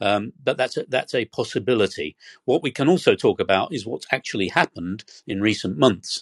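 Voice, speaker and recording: In a dry, close sound with no echo, a man with a British accent and medium pitch talks at a fairly quick pace with very wide pitch swings. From Britain. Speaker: historian and energy researcher. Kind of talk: interview. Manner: hesitant, many fillers.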